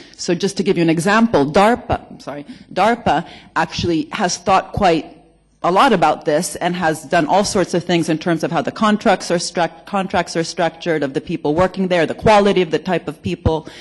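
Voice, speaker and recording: The delivery moves at a fairly quick pace. An American accent is heard. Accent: American-sounding. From Italy. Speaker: economics researcher, conference speaker. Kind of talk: conference panel discussion.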